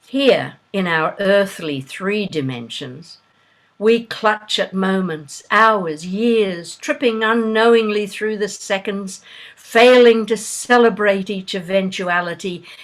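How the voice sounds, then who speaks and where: With an Australian accent, the speaker talks at a very slow pace with ordinary pitch variation. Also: woman, medium pitch for a woman. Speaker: poet. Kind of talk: poetry reading. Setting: video call.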